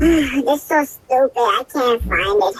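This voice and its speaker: A woman puts on a squeaky character voice, pitched high. Her intonation is lively and her pace fairly slow. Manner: frustrated.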